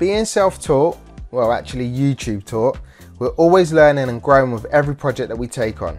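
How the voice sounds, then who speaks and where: Over music in the background, a man talks at medium pitch and a moderate pace. His intonation is lively. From London. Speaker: property developer and DIY expert. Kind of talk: presenter showreel, talk to camera.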